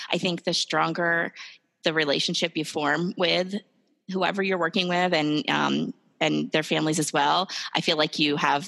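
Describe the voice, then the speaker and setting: A woman with an American accent speaks at a moderate pace in a very deep, low pitch with vocal fry and fairly even intonation. Her tone is bright and sharp, and the recording is very clean with a silent background. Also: dry, close sound with no echo. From New Jersey. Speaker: speech-language pathologist. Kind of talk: casual interview.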